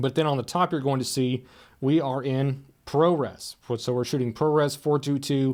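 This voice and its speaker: With a very clean recording and silent background, a man speaks fairly high in pitch at a moderate pace. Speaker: camera store presenter. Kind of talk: product tutorial. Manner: loud.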